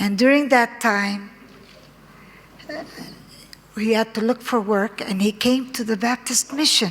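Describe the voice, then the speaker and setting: With an Arabic accent, a woman speaks at a fairly high pitch and a fairly slow pace. Her pitch varies in an ordinary way, and noticeable background noise can be heard. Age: 70s. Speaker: conference speaker. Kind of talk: personal testimony. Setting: conference with audience. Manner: halting.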